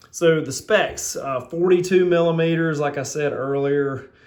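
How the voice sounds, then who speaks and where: Speaking with a Southern US accent, a man goes at a very slow pace with fairly even intonation. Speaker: watch reviewer. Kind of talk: product review. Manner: halting, many fillers; casual.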